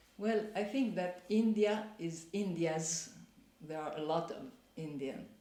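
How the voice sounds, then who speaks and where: Against noticeable background noise, the words come at a very slow pace. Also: woman, medium pitch for a woman, ordinary pitch variation. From Spain and Italy. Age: 60s. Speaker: mature master's student. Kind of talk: interview answer.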